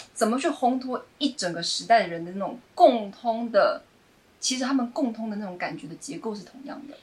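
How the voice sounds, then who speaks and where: Talking at a fairly quick pace, a woman uses lively intonation at a high pitch with big swings in loudness. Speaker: playwright. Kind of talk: casual chat.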